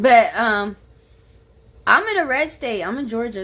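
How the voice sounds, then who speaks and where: This speaker has a slight Southern US accent. The pace is moderate. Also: woman. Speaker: political commentary streamer. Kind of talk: casual reaction commentary.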